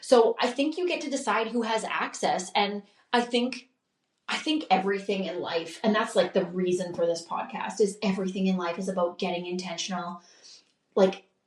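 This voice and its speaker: A woman's medium-pitched voice: an ordinary speaking voice, with ordinary pitch variation at a moderate pace. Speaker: podcast host. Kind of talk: podcast monologue.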